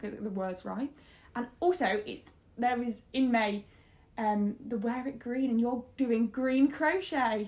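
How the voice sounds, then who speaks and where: This woman has a British accent and a high pitch. She talks at a very slow pace with ordinary pitch variation. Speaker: podcast host. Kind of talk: casual chat.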